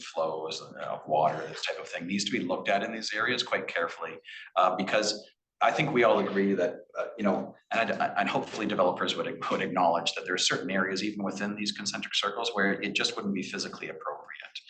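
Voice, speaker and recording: Noticeable background noise and audible room echo around a man speaking at a very fast pace. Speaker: municipal staff planner. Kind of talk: staff presentation at council meeting. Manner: halting, many fillers and repetitions.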